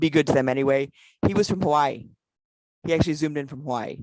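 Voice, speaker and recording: A woman speaks at a very deep, low pitch. The sound is dry and close with no echo. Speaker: past president of a service club organization. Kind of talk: virtual conference talk; Q&A. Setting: video call. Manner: fast; animated.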